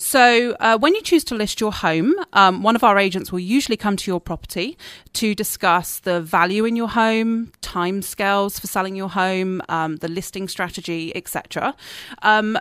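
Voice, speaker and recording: In a very clean recording with a silent background, a woman talks at a fairly quick pace. She has an English accent and a medium pitch. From southern England, Dorset. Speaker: realtor and marketing specialist. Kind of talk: radio interview. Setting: radio studio.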